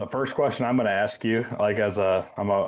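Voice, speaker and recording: An unremarkable speaking voice belongs to a man with an American accent and a fairly low pitch. He talks at a fairly quick pace with fairly even intonation. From Iowa. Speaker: hunting podcast host. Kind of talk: casual interview.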